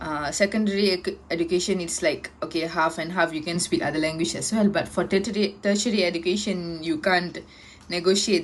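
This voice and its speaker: A woman speaks with a Tamil accent at a moderate pace. Her pitch is fairly low, and her intonation is fairly even. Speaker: university student. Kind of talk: class presentation. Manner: halting.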